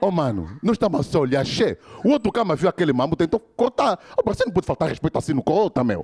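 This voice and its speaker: Over a quiet background, a man talks at a very fast pace with very even loudness. His high pitch moves in very wide swings. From Angola. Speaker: stand-up comedian. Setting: stage with live audience. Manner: animated, switching into shouted character lines. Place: stage. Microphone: handheld.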